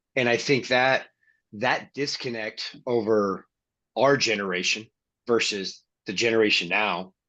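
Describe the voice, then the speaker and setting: A man at medium pitch with a bright, sharp tone, fairly slow pace, ordinary pitch variation, and long, frequent pauses, over a quiet background. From Colorado. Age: 40s. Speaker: interview guest, recovering alcoholic. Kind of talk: casual chat.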